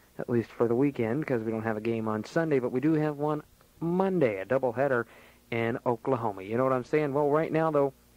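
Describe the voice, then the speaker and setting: A man's medium-pitched voice, upbeat in tone, at a very fast pace. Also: ordinary pitch variation. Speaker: radio DJ / on-air host. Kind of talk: radio show air check, casual host patter. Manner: casual, jokey, upbeat.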